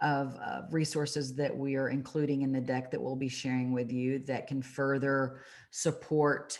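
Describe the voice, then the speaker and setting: The voice is monotone with flat intonation. Audible room echo surrounds it. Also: woman, very deep, low pitch for a woman, moderate pace. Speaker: marketing agency head presenting webinar. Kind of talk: webinar presentation.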